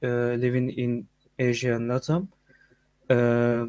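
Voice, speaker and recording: In a Turkish accent, a man speaks at a fairly slow pace with a dark, mellow tone and medium pitch, the sound dry and close with no echo. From Turkey. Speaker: game developer and community manager. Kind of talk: video call self-introduction. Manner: halting, many fillers.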